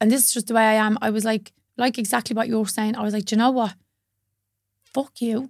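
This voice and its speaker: A woman with a strong Dublin accent talks at a very fast pace in a fairly high pitch. Her intonation is monotone and flat, and long, frequent pauses break her speech. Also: very clean recording, silent background. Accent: strong northern Dublin Irish. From north Dublin, Ireland. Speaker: yoga teacher.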